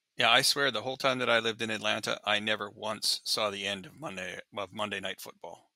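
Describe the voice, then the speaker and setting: In a Canadian accent, a man speaks fairly quickly in a fairly low voice with a bright, sharp tone, fairly even intonation and big swings in loudness, on a very clean recording with a silent background. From Canadian Prairies, Regina. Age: 60s. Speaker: touring lighting technician turned vendor. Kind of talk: casual interview.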